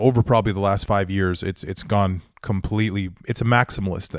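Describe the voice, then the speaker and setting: On a very clean recording with a silent background, a man with a Western Canadian accent speaks at a fairly quick pace with ordinary pitch variation. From Northern Alberta, Canada. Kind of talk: interview.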